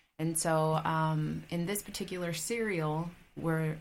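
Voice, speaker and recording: A woman with an American accent speaks at a fairly low pitch and a fairly slow pace, with audible room echo. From Independence, Missouri (US Midwest), from age two. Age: young. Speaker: podcast guest. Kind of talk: interview conversation.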